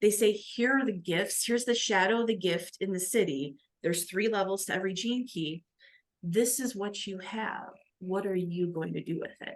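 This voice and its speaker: Speaking with an American accent, a woman uses a medium pitch, ordinary pitch variation and a moderate pace. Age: 40s. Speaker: spiritual coach, former police officer. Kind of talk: podcast interview.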